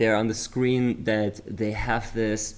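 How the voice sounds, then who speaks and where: This is a man speaking. He has a German accent. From Germany. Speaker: memory sports commentator. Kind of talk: live commentary. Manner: animated.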